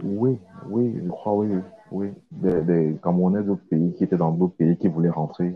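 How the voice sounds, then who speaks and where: A man with a very deep, low voice speaks at a fairly slow pace with ordinary pitch variation, music playing in the background. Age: 20s. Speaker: accountant. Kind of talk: interview. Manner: halting.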